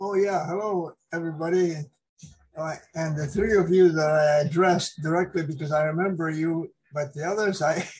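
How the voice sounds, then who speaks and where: A man's high-pitched voice with fairly even intonation. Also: moderate pace. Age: 80s+. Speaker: retired engineer, ham radio hobbyist. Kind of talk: casual meeting chat. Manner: halting.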